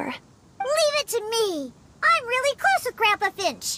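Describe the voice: A squeaky, cartoonish character voice with an extremely high pitch talks at a fairly slow pace.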